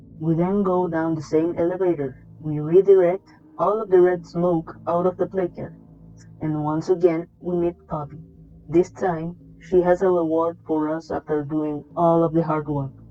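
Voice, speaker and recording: Over music in the background, a woman speaks at a moderate pace in a fairly low pitch with monotone, flat intonation. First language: not English. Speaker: video game reviewer. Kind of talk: video essay narration.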